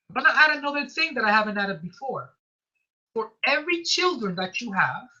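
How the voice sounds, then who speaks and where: A woman's raised, projected voice, high in pitch, bright and sharp in tone, with very wide pitch swings. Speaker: tax instructor. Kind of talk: tutorial. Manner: fast; halting.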